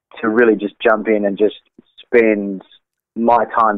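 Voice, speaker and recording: In an Australian accent, a man talks at a fairly low pitch. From Australia, Sydney. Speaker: jazz saxophonist. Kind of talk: casual interview.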